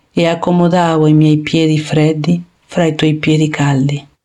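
In an Argentine accent, a woman speaks at a fairly slow pace. Her tone is dark and mellow. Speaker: poet. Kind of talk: reading aloud.

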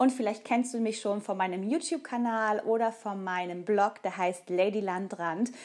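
A woman talks with hardly any pauses. Her pitch is medium, with ordinary variation. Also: moderate pace. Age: 40s. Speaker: nutrition coach and podcast host. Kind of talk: solo podcast monologue.

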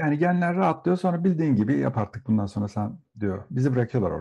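Somewhat breathy, a man's voice carries a dark, mellow tone. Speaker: psychotherapist. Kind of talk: interview.

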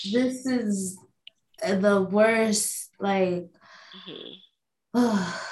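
A woman at a medium pitch with an American accent and ordinary pitch variation. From New York, the Bronx. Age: 20s. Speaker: self-growth coach. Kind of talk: casual chat.

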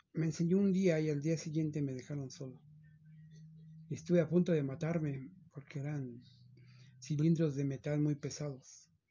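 A man speaks at a moderate pace with fairly even intonation and long, frequent pauses. His voice is fairly high and somewhat breathy. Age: 50s. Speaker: chauffeur. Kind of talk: interview. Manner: halting, many repetitions.

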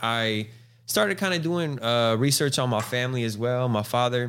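An ordinary speaking voice with an American accent moves at a moderate pace. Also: man, very even loudness. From Central Valley, California. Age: 30s. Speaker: rapper. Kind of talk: casual interview.

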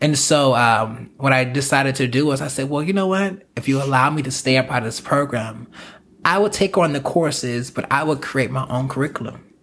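The man's fairly high pitch shows ordinary variation as he talks at a fairly quick pace. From US South, South Carolina. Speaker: choreographer and performer. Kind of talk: casual interview. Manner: animated.

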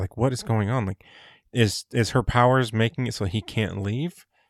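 Dry and close with no echo, the recording is very clean with a silent background. The man has a plain, everyday voice. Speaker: podcast host. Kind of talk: casual chat.

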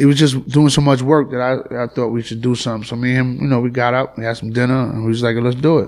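With a New York accent, a man talks very fast in a flat monotone, hardly pausing at all. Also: medium pitch for a man. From New York (Flushing, Queens). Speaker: rapper. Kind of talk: casual interview. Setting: penthouse apartment, New York City. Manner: halting, repetitive.

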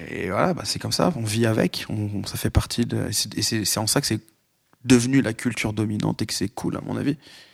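Speaking at a fairly quick pace, a man uses a fairly low pitch with ordinary variation and vocal fry. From France, Lyon. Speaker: hip hop podcast guest. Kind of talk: casual chat. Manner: hesitant, many fillers.

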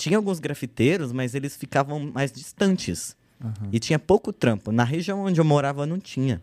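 In an unremarkable speaking voice, a man talks with a fairly high pitch and lively intonation at a moderate pace, hardly any pauses, and a dry, close sound with no echo on a very clean recording with a silent background. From São Paulo, Zona Norte. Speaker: graffiti artist. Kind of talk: casual chat.

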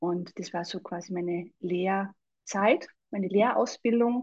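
In a Salzburg accent, a woman with a somewhat breathy voice talks at medium pitch against a quiet background. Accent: Austrian (Salzburg) German. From Austria, Salzburg. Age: 40s. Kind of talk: casual interview chat.

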